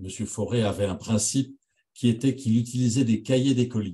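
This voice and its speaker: A man speaks at a moderate pace with fairly even intonation, his voice somewhat breathy. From France. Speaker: radiology professor. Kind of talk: lecture. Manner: halting.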